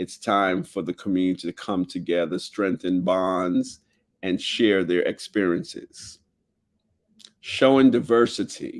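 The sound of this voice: A man speaks slowly at a low pitch. His intonation stays fairly even.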